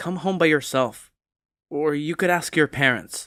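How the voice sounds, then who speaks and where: A put-on character voice at a moderate pace and middle pitch, in a very clean recording with a silent background. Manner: angry, curt.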